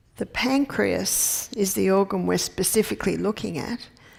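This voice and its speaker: A woman speaks slowly-ish, at a fairly slow pace, with an Australian accent. The recording is very clean, with a silent background. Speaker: naturopath and health educator. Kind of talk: health lecture. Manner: conversational.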